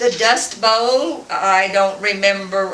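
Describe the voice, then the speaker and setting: A woman with an American accent at a very slow pace, with audible room echo and noticeable background noise. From West Texas. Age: 80s+. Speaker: grandmother interviewed by family. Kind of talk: family oral-history interview. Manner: halting, with repetitions and fillers.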